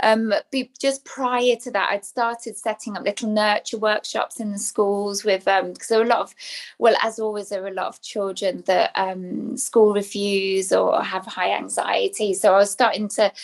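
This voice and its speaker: A woman with an English accent and a fairly high pitch, fairly even intonation, hardly any pauses, on a very clean recording with a silent background. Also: moderate pace. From England. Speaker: spiritual teacher. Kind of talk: podcast interview.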